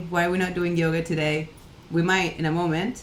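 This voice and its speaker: The speaker is a woman with a fairly low pitch. Audible room echo surrounds her voice. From Catalonia, Spain. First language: Catalan. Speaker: livestream coworking host. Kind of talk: casual livestream chat. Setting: home office livestream.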